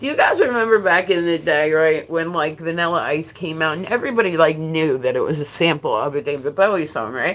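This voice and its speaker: An animated tone at a moderate pace, with music in the background. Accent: New Jersey. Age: 50s. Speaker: livestreamer. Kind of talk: casual chat. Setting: livestream.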